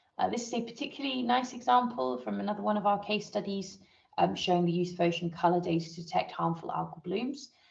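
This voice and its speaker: Using a medium pitch, a woman talks at a very fast pace with lively intonation and some vocal fry. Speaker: marine satellite data scientist. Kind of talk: technical presentation in online training. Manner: hesitant with many fillers.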